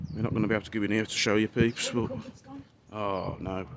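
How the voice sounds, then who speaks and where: Fairly low in pitch, a man with a British accent speaks at a moderate pace in a monotone, flat intonation. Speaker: urban explorer vlogger. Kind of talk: casual vlog narration while exploring. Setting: outdoors.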